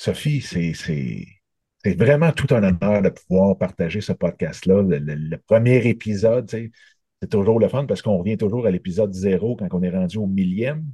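A man with a Quebec accent speaks at a moderate pace with lively intonation, in a dark, mellow tone and a fairly low pitch. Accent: Québécois French. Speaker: interviewer. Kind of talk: interview.

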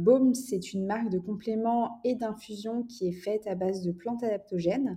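A woman speaks at a fairly slow pace in a medium-pitched, somewhat breathy voice with a dark, mellow tone and ordinary pitch variation. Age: 20s. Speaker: entrepreneur and art director. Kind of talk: casual interview chat.

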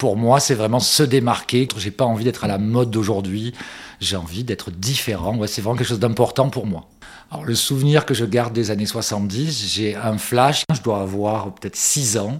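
At a moderate pace and with ordinary pitch variation, an unremarkable speaking voice talks. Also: man, medium pitch for a man. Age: 50s. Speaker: vintage enthusiast. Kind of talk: interview testimony.

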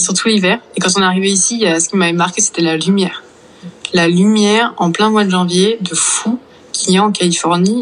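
Against noticeable background noise, a woman with a medium pitch speaks at a moderate pace, her loudness very even and her intonation fairly even. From Brittany, France. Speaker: virologist. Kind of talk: interview.

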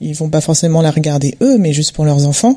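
Lively intonation marks this woman's fairly low-pitched voice. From Montreuil, Paris region, France. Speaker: interior designer, guest. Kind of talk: casual panel discussion. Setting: home living room recording.

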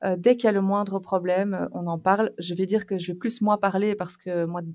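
A woman at medium pitch speaks with fairly even intonation in a very clean recording with a silent background. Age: 30s. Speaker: mother of three, podcast guest. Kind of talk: casual chat.

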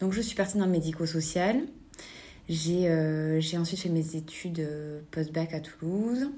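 A dark, mellow tone moves at a fairly slow pace with long, frequent pauses and very even loudness. Pitch variation is ordinary, and audible room echo surrounds the voice. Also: woman, fairly low pitch for a woman. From southern France, Albi area. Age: 30s. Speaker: clothing shop owner. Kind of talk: interview. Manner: hesitant, many fillers.

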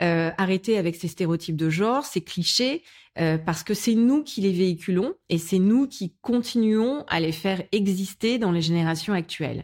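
This very clean recording has a silent background. A woman at medium pitch speaks at a moderate pace with lively intonation. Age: 40s. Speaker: business executive. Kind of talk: casual chat. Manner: hesitant, many fillers.

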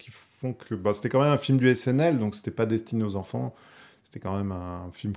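Against a silent background on a very clean recording, a man speaks at a moderate pace. His voice is fairly low, dark and mellow, with lively intonation. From Paris region, France. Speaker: illustrator. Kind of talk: casual chat. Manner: halting.

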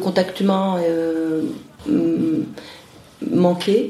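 There is audible room echo and noticeable background noise behind this woman's voice. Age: 50s. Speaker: interviewee, parent. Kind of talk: interview.

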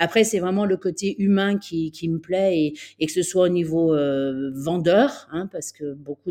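A woman's fairly low-pitched voice with a dark, mellow tone, fairly even intonation and a moderate pace. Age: 40s. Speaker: real estate agency director. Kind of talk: interview. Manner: halting, many repetitions and fillers.

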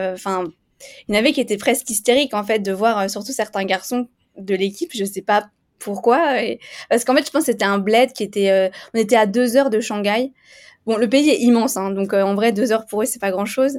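On a very clean recording with a silent background, a woman with a plain, everyday voice speaks at a fairly quick pace, her fairly high pitch showing ordinary variation. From eastern France (Vosges). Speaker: race walker athlete. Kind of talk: interview.

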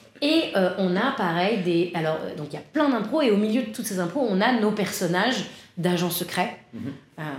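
With lively intonation, a woman talks at a moderate pace. Audible room echo and noticeable background noise fill the recording. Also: medium pitch for a woman. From Paris, France. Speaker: improv and stage actress. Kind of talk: casual interview chat. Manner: hesitant, frequent laughter.

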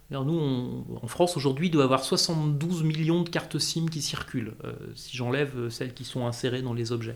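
Speaking at a moderate pace with hardly any pauses, a man with a plain, everyday voice has a fairly high pitch and ordinary pitch variation. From Corsica. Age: 40s. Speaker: communications director. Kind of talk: interview.

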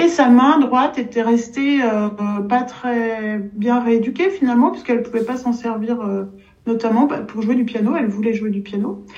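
A woman speaks at a fairly high pitch and a fairly slow pace, with ordinary pitch variation. Noticeable background noise and audible room echo surround her voice. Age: 60s. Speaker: pianist and piano teacher. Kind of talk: casual interview chat.

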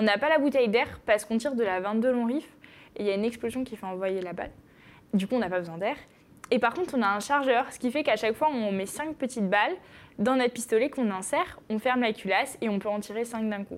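A woman talking at a very fast pace on a very clean recording with a silent background. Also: fairly high pitch for a woman, ordinary pitch variation. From northern France, Picardy (Noyon). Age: 20s. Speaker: sport shooter, athlete. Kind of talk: interview.

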